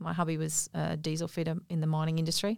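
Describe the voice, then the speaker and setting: A woman with an unremarkable speaking voice and a fairly low pitch talks at a moderate pace in a very clean recording with a silent background. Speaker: naturopath and small business owner. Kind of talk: interview. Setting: studio.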